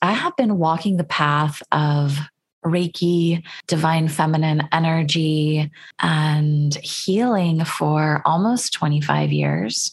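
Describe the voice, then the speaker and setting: A woman speaks very slowly in a very deep, low, somewhat breathy voice. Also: ordinary pitch variation. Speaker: Reiki teacher and healer. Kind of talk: interview about healing work, with a poem reading.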